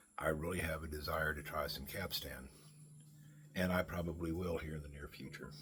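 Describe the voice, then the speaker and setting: Vocal fry runs through this voice as it keeps a moderate pace. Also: man. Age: 60s. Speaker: pipe smoking vlogger. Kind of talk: casual monologue. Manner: halting.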